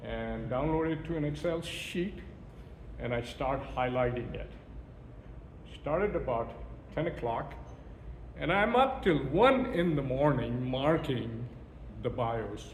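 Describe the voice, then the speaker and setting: Amid noticeable background noise and audible room echo, a man talks at a fairly slow pace with long, frequent pauses. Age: 60s. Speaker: event speaker. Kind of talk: speech. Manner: animated.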